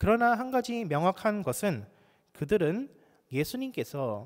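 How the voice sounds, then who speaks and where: A man takes a fairly slow pace while his pitch climbs and drops over a very wide range. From South Korea, Busan. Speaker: pastor. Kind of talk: sermon.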